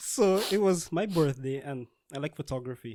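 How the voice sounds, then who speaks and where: Here a man speaks with a Guyanese accent at a fairly high pitch. The sound is dry and close, with no echo. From Guyana. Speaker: scientist. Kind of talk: casual podcast conversation.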